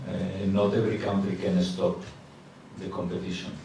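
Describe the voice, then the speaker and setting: A man's fairly low voice at a moderate pace, fairly even in intonation, with audible room echo and noticeable background noise. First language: Spanish. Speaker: football coach. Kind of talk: press conference. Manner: halting.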